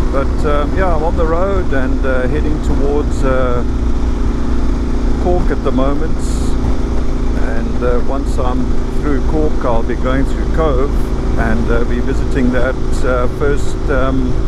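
Over loud background noise, a man speaks very slowly with long, frequent pauses, the sound dry with no echo. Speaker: motorcycle travel vlogger. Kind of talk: casual vlog chat. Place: motorbike. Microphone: helmet.

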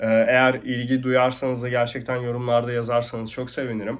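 Against a quiet background, a man speaks at a moderate pace and medium pitch. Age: 20s. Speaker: e-commerce vlogger. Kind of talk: vlog monologue. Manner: hesitant, many fillers.

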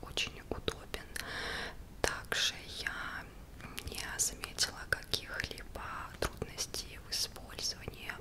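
Whispering, a woman speaks at a very slow pace. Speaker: product reviewer. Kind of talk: soft-spoken product review. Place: home room. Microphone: studio mic.

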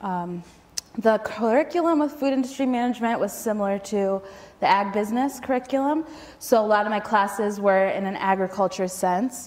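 Someone with an American accent talks at a fairly quick pace with ordinary pitch variation. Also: woman. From Michigan suburbs, US. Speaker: school garden educator. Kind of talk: storytelling talk. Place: hall. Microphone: lapel.

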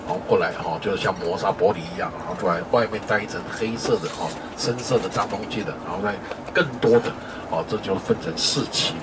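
Over loud background noise, the speaker talks at a fairly quick pace with ordinary pitch variation. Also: man. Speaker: tour guide. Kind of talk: commentary to a tour group.

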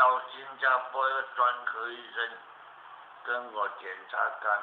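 Audible room echo and light background noise surround a man speaking at a medium pitch. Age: 80s+. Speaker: qigong master, cancer survivor. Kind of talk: interview answer. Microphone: camera far.

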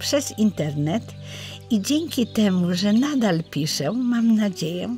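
Over music in the background, a woman speaks at a very slow pace with very wide pitch swings. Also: medium pitch for a woman, very even loudness. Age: 80s+. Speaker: poet. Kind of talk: personal life story told to camera.

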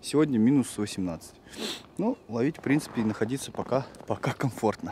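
The sound is dry with no echo, the pace moderate and the pitch variation ordinary, with light background noise. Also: man. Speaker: fishing vlogger. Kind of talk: casual vlog chat. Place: open country. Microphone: phone near.

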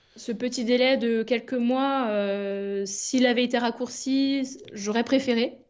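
A woman speaks very slowly in a high voice with fairly even intonation. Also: hardly any pauses. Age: 30s. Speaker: nurse and cancer patient. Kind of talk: testimony. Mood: calm, reflective. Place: home room. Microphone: webcam.

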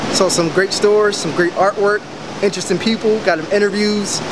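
Over noticeable background noise, a man with an American accent speaks at a fairly quick pace. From Philadelphia, US. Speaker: vlogger, touring with a musician. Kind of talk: travel vlog. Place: street. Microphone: phone near.

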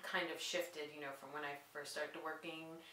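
With light background noise and audible room echo, a woman talks in a very deep, low voice. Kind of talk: interview answer. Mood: calm, reflective. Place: studio.

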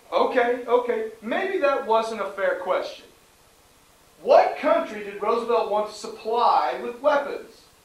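At a fairly slow pace, a man with an extremely high pitch speaks amid audible room echo. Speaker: history teacher. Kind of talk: classroom lecture with questions. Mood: patient, slightly frustrated. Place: classroom. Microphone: camera far.

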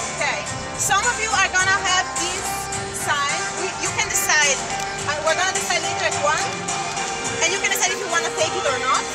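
The speech runs at a moderate pace. Faint music plays in the background. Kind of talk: instructions to a group. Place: street. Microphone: camera far.

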